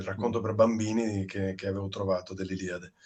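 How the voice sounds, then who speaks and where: A man with a fairly low voice. He speaks in fairly even intonation, an unremarkable speaking voice. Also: quiet background. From Padua, Italy. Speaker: actor. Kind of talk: interview answer.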